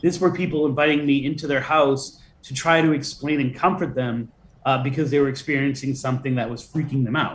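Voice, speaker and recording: With an American accent, a man talks at a fairly quick pace in a fairly high pitch, his voice somewhat breathy and his intonation fairly even. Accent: Boston, slight, shed for interviews. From Boston. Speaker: folklorist and author. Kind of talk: interview.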